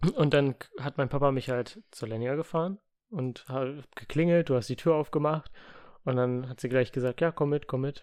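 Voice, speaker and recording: Quiet and fairly high-pitched, a man speaks at a moderate pace with ordinary pitch variation. The sound is dry and close, with no echo. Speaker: podcast co-host. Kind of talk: casual chat. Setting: home room. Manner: quieter in podcast.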